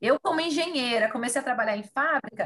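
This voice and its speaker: The woman's voice is high-pitched, with lively intonation. She talks at a moderate pace. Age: 30s. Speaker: sales manager and chemical engineer. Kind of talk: casual chat.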